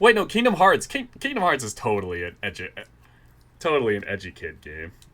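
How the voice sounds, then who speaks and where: This man talks at a fairly quick pace, his loudness swinging widely. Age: 20s. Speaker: podcast host. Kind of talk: casual chat.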